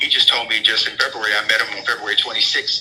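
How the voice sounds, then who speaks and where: A man with an American accent talking at a very fast pace over noticeable background noise. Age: 60s. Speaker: prison inmate, jailhouse lawyer. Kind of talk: interview.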